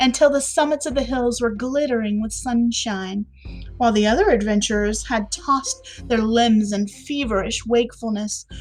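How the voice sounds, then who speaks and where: Music plays in the background as a woman speaks with an American accent. Her fairly high pitch varies in an ordinary way. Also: moderate pace. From Southern United States. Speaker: podcast host. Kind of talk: classic short story reading.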